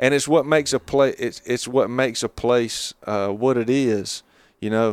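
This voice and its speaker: In a very clean recording with a silent background, a man with an Appalachian accent speaks at medium pitch and a fairly slow pace. The sound is dry and close with no echo, and his intonation is fairly even. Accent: Appalachian Southern US. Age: 30s. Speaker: novelist. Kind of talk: casual chat. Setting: on location during a hunting trip.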